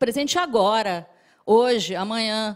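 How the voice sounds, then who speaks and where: A quiet backdrop behind a woman speaking with lively intonation. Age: middle-aged. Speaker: marketing professor. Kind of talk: presentation talk. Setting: stage with audience. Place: hall. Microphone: handheld.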